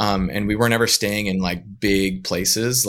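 This man speaks with a Western US accent at a fairly low pitch. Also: very clean recording, silent background. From northern Utah. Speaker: widower and full-time traveling parent. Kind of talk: casual interview.

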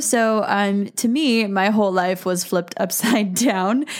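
A woman with an ordinary speaking voice talks at a medium pitch with ordinary pitch variation. Her pace is fairly slow. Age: 20s. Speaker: podcast host and elopement photographer. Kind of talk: personal testimony. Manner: casual, with frequent fillers.

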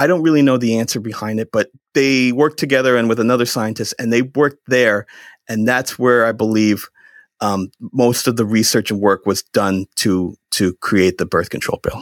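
In an American accent, a man speaks at a medium pitch and a moderate pace with ordinary pitch variation, in a plain, everyday voice. The sound is dry and close with no echo. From central Massachusetts. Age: 30s. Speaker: podcast guest. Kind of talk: casual chat.

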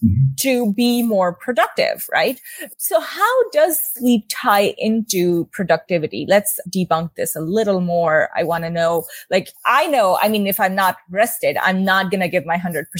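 A woman with an unremarkable speaking voice talks at a fairly slow pace and a medium pitch. Her intonation is lively, and the sound is dry and close with no echo. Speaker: podcast host and wellness coach. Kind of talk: interview.

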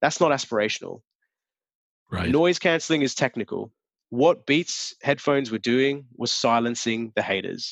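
Over a quiet background, a man with an Australian accent speaks in a fairly high pitch with lively intonation, the sound dry and close with no echo. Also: moderate pace. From Australia, Sydney. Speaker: advertising strategist. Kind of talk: interview.

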